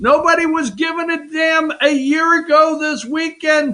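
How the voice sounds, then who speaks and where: In a raised, projected voice with a bright, sharp tone, a man speaks very slowly at an extremely high pitch. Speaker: political talk show host. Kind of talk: political opinion talk show. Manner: loud; animated.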